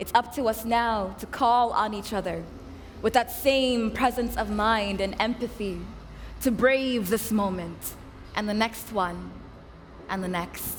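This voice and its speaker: A woman with fairly high pitch, ordinary pitch variation, a fairly slow pace and long, frequent pauses. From Sudanese-American. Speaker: poet. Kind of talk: slam poetry performance.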